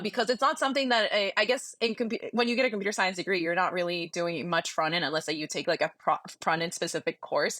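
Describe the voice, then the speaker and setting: Her tone bright and sharp, a woman talks at a very fast pace with lively intonation and a medium pitch. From Peru. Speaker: software engineer. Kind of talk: podcast interview answer. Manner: casual, filler-heavy.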